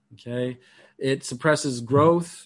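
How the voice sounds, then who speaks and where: Against a quiet background, a man with a fairly high pitch and ordinary pitch variation speaks in a plain, everyday voice. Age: 50s. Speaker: meditation teacher and minister. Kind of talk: lecture.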